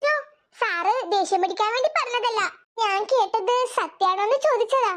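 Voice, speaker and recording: This squeaky, cartoonish character voice sits at an extremely high pitch and moves at a fairly slow pace. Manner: hesitant, stammering.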